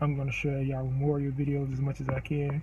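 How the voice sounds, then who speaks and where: A man speaks very fast in a fairly high voice with a flat, monotone delivery, and noticeable background noise is present. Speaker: vlogger. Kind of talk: memorial tribute.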